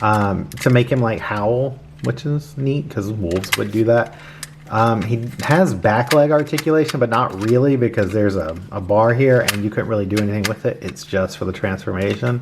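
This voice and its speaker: Noticeable background noise runs through the clip. The speaking pace is moderate. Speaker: toy reviewer. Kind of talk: product review. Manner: casual, many fillers.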